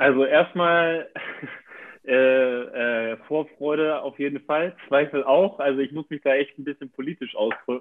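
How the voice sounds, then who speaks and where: At a fairly slow pace, a man talks with a fairly high pitch and fairly even intonation. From northern Germany, near Hamburg. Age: 20s. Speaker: handball player. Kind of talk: interview. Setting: video call. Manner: hesitant, many fillers.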